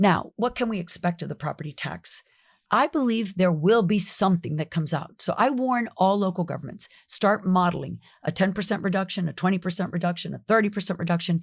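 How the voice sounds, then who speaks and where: A woman with an American accent speaks at a fairly quick pace, medium in pitch and somewhat breathy, with ordinary pitch variation. The recording is very clean, with a silent background. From South Florida. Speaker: county commissioner and former state legislator. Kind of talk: podcast interview.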